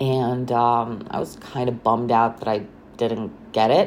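The pace is very slow, with noticeable background noise behind the voice. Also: woman. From Romania, Bucharest. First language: Romanian. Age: 30s. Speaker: podcaster. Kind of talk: casual monologue. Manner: hesitant, many fillers.

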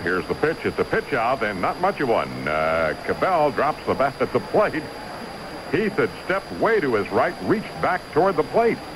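A man keeps a moderate pace while noticeable background noise continues behind him. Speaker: radio color commentator and co-announcer. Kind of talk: live baseball commentary, analysis between pitches. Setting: radio broadcast from ballpark.

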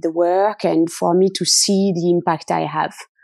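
Against a quiet background, a woman speaks at a medium pitch with a dark, mellow tone and fairly even intonation. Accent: French. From France. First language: French. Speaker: product lead. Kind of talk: interview.

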